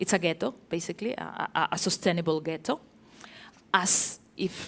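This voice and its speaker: A woman with a Spanish accent speaks at a moderate pace on a very clean recording with a silent background. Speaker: architecture journalist. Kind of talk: panel talk with slides. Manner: hesitant, many fillers.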